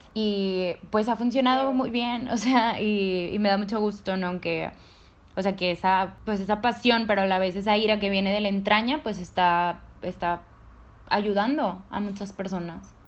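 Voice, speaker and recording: A woman with a plain, everyday voice talks at a medium pitch and a fairly slow pace, keeping her intonation fairly even. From Monterrey, northern Mexico. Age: 20s. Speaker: law student and feminist activist. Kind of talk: casual interview.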